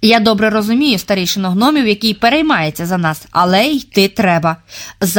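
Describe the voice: Lively intonation in plain reading aloud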